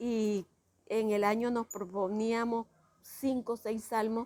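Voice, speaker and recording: This voice belongs to a woman. Her pitch is fairly high. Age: 70s. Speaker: retired teacher and school founder. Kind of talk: interview testimony.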